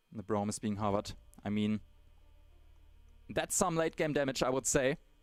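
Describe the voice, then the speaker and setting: A man at a moderate pace, medium-pitched, with lively intonation and music in the background. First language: German. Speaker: esports caster. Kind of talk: live commentary. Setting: livestream. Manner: animated.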